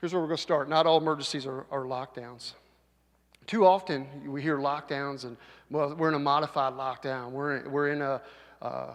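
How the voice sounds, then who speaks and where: Against a quiet background, a man talks at a fairly quick pace with fairly high pitch and fairly even intonation. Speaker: sheriff's deputy captain, school safety and SWAT leader. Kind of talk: safety presentation to school audience.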